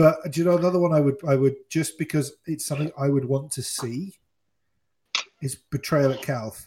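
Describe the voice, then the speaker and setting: The voice has a dark, mellow tone, somewhat breathy, moving at a moderate pace with fairly even intonation. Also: man, fairly high pitch for a man. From southwest England. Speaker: podcast host. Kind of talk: casual chat. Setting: online group call.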